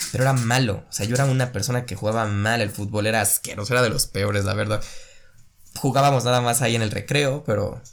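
A man speaks very fast in a Mexican accent. His intonation is fairly even. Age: 20s. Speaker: podcast host. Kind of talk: casual monologue.

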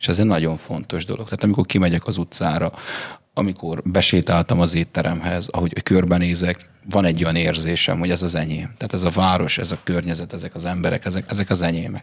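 A man with a very deep, low voice talks at a very fast pace with fairly even intonation. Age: late 20s. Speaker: bartender and barista. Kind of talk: casual interview.

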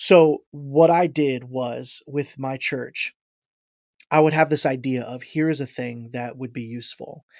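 An unremarkable speaking voice from a man with an American accent, fairly high in pitch, at a fairly slow pace with big swings in loudness, on a very clean recording with a silent background. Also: fairly even intonation. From Ohio, US Midwest. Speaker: worship arts director. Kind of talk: casual chat.

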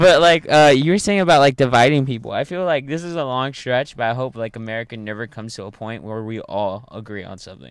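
Speaking very fast, a man with a medium-pitched voice uses lively intonation and big swings in loudness. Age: 18. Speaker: open mic stand-up comic. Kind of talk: casual chat.

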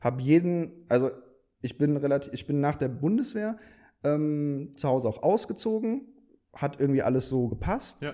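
With lively intonation and a dark, mellow tone, a man speaks at a fairly high pitch and a moderate pace. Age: 20s. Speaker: video producer. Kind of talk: casual interview. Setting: studio.

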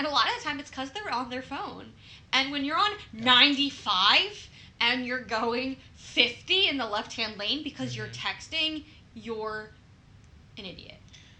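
A woman's high, bright, sharp voice with ordinary pitch variation and audible room echo. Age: 20s. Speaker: podcast co-host and nurse. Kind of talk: casual chat.

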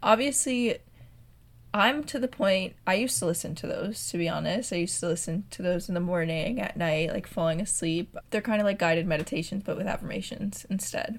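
The voice is somewhat breathy, with lively intonation and a fairly quick pace. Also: woman, medium pitch for a woman. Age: 20s. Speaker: content creator. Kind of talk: casual chat.

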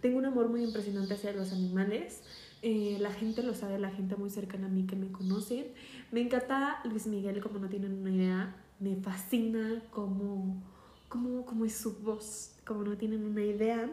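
This woman speaks in a Mexico City accent at a medium pitch and moderate pace. Her intonation is fairly even, with audible room echo around her. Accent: Mexican Spanish (Mexico City). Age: 20s. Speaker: podcaster. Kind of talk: personal monologue podcast. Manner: hesitant, many fillers.

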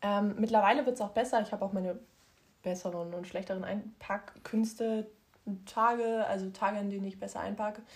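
A woman speaks in a somewhat breathy voice with monotone, flat intonation. Her speech has long, frequent pauses. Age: 20s. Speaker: podcast co-host. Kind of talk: casual chat.

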